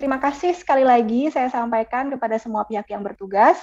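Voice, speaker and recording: A woman with a dark, mellow tone and ordinary pitch variation, against a quiet background. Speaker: student webinar organizer; webinar moderator. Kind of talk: formal closing remarks; moderator closing remarks. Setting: video call. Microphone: video call.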